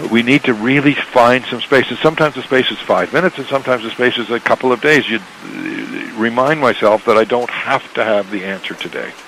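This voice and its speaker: Noticeable background noise sits behind a man with a Canadian accent. He speaks at a fairly quick pace. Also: medium pitch for a man, ordinary pitch variation. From Canada. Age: 60s. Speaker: author and entrepreneur. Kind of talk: radio interview. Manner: repeats words often, slightly halting.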